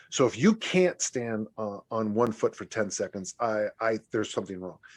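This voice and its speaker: In a very clean recording with a silent background, a man speaks at medium pitch and a moderate pace. He has a plain, everyday voice with ordinary pitch variation. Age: 60s. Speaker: strength coach and author. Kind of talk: podcast interview.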